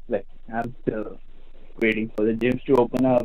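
This is a man speaking. He has an Indian accent. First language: not English. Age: 30s. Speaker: caller. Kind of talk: call-in question. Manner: halting, hesitant.

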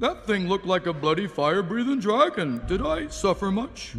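Over clear background noise, a man talks at a moderate pace with a high pitch.

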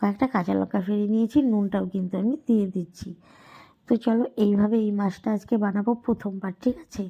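The recording is very clean with a silent background. The tone is dark and mellow, somewhat breathy, with fairly even intonation. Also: woman, medium pitch for a woman. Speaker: cooking vlogger. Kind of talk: cooking tutorial. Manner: casual, chatty.

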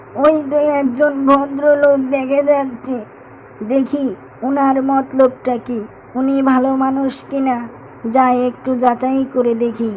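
Over clear background noise, a female-sounding cartoonish character voice talks at a high pitch in a flat monotone, at a fairly slow pace.

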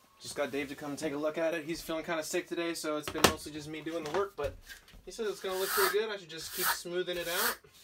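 A man rattles off his words at a very fast pace while loud noise fills the background. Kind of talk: casual vlog chat. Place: bus. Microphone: camera far.

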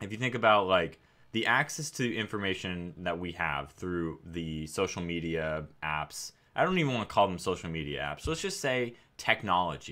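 Over a quiet background, a man with a very deep, low pitch talks with lively intonation and a bright, sharp tone. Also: moderate pace. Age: 30s. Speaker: AI researcher and YouTuber; YouTuber. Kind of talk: casual monologue. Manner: repetitive, hesitant with fillers. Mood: calm, thoughtful. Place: home room.

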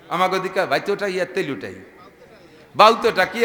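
A man with a high pitch speaks in an animated tone over noticeable background noise. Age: 50s. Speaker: Islamic preacher. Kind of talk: humorous religious sermon.

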